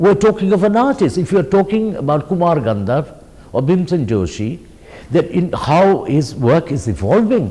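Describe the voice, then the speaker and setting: A man with a high pitch, very wide pitch swings and a moderate pace. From India, Orissa. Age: 60s. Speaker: artist. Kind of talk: interview.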